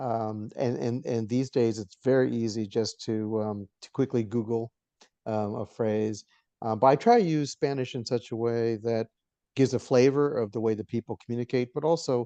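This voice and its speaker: A man speaks at a moderate pace with a medium pitch and a dark, mellow tone, his intonation fairly even and the sound dry and close with no echo over a quiet background. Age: 60s. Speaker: novelist. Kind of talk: interview. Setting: teleconference. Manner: halting, many fillers.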